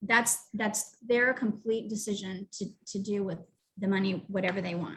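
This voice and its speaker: With an ordinary speaking voice, a woman at a medium pitch keeps a moderate pace and fairly even intonation. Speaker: youth entrepreneurship program director. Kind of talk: presentation. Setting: live online webinar.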